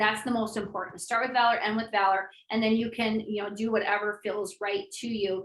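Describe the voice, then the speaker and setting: A woman talks at a fairly quick pace with hardly any pauses. Her fairly high pitch stays in a monotone, flat intonation. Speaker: essential oils educator and seller. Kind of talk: live online class. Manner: fast; casual, conversational.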